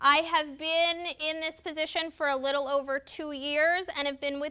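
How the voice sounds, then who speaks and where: With a New Jersey accent, the speaker uses a raised, projected voice and a bright, sharp tone, talking at a fairly slow pace with fairly even intonation. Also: woman. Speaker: volunteer trainer. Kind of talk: training class. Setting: classroom with sign interpreters and cameras.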